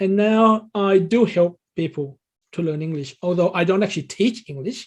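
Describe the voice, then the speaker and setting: A man talks fairly slowly, his pitch varying in an ordinary way. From Thailand. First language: Thai. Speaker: English learning coach. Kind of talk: interview. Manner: hesitant, with fillers.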